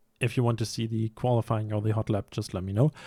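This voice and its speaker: On a very clean recording with a silent background, a man with a German accent talks at a medium pitch. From Germany. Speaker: sim racing YouTuber. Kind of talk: casual vlog commentary. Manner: hesitant, many fillers.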